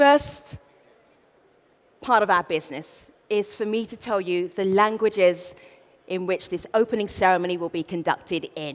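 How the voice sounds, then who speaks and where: A woman with a South London accent speaks at a moderate pace in a playful tone, her loudness swinging widely and her pitch varying in an ordinary way, with long pauses coming often. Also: medium pitch for a woman. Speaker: event host, master of ceremonies. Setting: stage, opening ceremony. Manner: playful, humorous.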